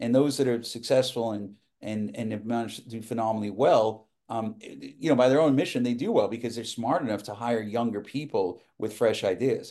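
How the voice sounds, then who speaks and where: A man with an American accent talks at a fairly quick pace in a dark, mellow tone. His pitch is medium, with ordinary variation. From New York, Westchester. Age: 50s. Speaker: TV producer. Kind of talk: casual interview chat. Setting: video call.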